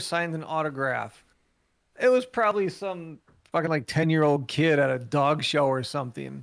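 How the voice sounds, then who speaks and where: On a very clean recording with a silent background, a man speaks at a moderate pace in an unremarkable speaking voice. His pitch is fairly high, with lively intonation. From US Midwest, northeast Wisconsin. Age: 40s. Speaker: musician. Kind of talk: casual chat.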